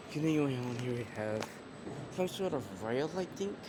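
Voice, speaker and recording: Noticeable background noise sits behind a man who speaks at medium pitch and a moderate pace with ordinary pitch variation. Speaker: vlogger touring a train museum. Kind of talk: casual walkthrough vlog.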